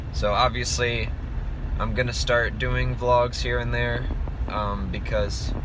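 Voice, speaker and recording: Fairly slow speech in a dry sound with no echo, with noticeable background noise. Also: man. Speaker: musician vlogger. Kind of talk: casual vlog chat. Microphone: phone near.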